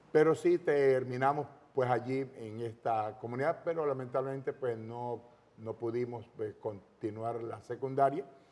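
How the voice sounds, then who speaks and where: A man speaks at a fairly slow pace with fairly even intonation over noticeable background noise. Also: medium pitch for a man. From Panama, Los Santos province. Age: 60s. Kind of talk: testimony interview.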